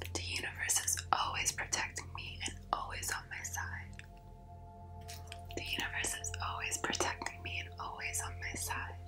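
A woman whispers while music plays in the background. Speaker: reiki healer. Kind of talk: ASMR affirmations. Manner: soft, slow, calming. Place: home room.

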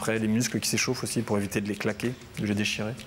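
A man's monotone, flat delivery over light background noise. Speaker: personal fitness coach. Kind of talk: TV interview. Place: studio. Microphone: lapel.

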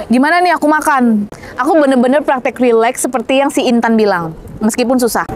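A woman with a high pitch speaks with lively intonation. The sound is dry with no echo, with light background noise. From Indonesia. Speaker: manifestation coach and YouTuber; manifestation coach, YouTuber. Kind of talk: vlog-style motivational talk. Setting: outdoors, walking in Istanbul. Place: street. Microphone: lapel.

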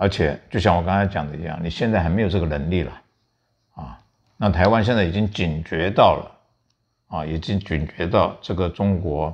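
Against a quiet background, a man speaks with a very deep, low pitch. His pace is moderate and his intonation fairly even. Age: 70s. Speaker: veteran journalist and commentator. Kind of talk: political commentary chat. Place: home room. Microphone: lapel.

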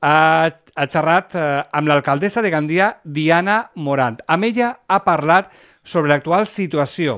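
Intonation is lively and the pace fairly slow. The background is quiet. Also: man. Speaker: TV magazine host. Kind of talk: broadcast presenting. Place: studio. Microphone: headset.

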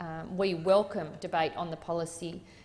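A woman with an Australian accent speaks at a fairly low pitch. Her intonation stays fairly even. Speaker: senator. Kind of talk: parliamentary debate. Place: hall. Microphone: podium.

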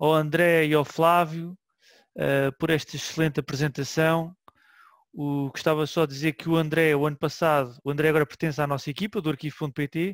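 An ordinary speaking voice from a man, fairly high in pitch, with fairly even intonation, a moderate pace, a dry sound with no echo, and a quiet background. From Portugal. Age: 40s. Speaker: web archive manager and session host; session host. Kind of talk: online seminar hosting. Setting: online session from home. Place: home room. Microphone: headset.

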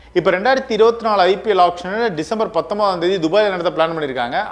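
Faint music plays in the background as a man speaks at a high pitch with lively intonation. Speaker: sports news presenter. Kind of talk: cricket news commentary to camera. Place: studio. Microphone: lapel.

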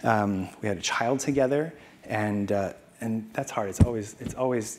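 Delivered at a moderate pace, the speech carries an American accent and ordinary pitch variation. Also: man. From Arizona. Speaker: wine entrepreneur and master sommelier; conference speaker. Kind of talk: conference talk. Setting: stage with audience. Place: hall. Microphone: lapel.

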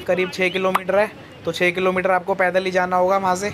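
Over clear background noise, a man with a high pitch talks at a fairly quick pace.

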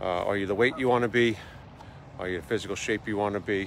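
Light background noise sits under a man's fairly low voice. His pitch variation is ordinary, and the sound is dry with no echo. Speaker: motivational vlogger. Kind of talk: motivational vlog talk. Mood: earnest, encouraging. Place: waterside. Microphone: phone near.

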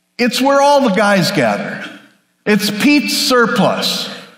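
Lively in intonation, a man speaks at a very slow pace amid audible room echo. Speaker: pastor. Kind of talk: sermon. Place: church.

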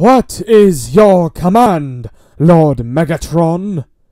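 A man in a put-on character voice at a very slow pace. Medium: voice reel.

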